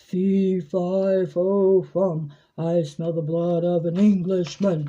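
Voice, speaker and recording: Put-on character voice at middle pitch and a very slow pace. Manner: angry, booming.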